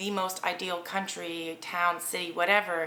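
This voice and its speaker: A woman with an American accent speaks in a medium pitch at a fairly slow pace. Her intonation is monotone and flat, and there is audible room echo. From Germany, US military community. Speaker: vlogger. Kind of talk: casual commentary vlog. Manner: rambling, with fillers.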